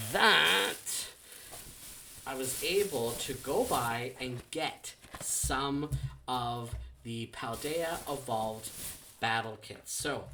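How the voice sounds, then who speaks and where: A man at medium pitch, quiet and very slow, with ordinary pitch variation and noticeable background noise. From Canada. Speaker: trading card unboxing youtuber. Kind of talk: casual unboxing vlog. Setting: at home. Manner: quiet, holding back volume; rambling with many fillers and restarts.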